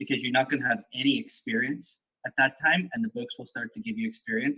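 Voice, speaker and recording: Bright and sharp, this man's voice swings very widely in pitch at a fairly quick pace. The sound is dry and close with no echo. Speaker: golf short game coach. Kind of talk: casual chat.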